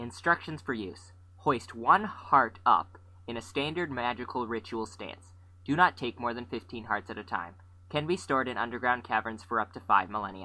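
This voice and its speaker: A whiny, put-on character voice with big swings in loudness, lively intonation and a moderate pace. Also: man, medium pitch for a man. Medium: audio drama. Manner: whiny, articulate, pessimistic.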